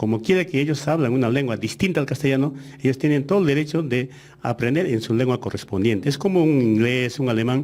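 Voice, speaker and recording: Speaking at a very fast pace, a man with an Andean accent uses ordinary pitch variation. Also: medium pitch for a man, very even loudness. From Aymara-speaking Andes, Peru. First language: Aymara (speaking Spanish). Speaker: education official. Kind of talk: radio interview. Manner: hesitant, many fillers.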